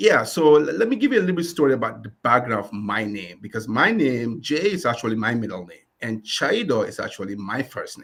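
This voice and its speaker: A man with a Ghanaian accent at medium pitch, fairly quick pace, lively intonation, big swings in loudness and hardly any pauses. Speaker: community lender CEO. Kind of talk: interview.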